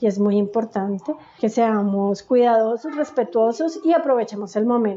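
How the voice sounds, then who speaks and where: Lively intonation marks this speech in a Colombian accent. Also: woman, fairly high pitch for a woman, moderate pace, very even loudness. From Colombia, Bogotá. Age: 40s. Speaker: migrant activist and academic. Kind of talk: interview testimony.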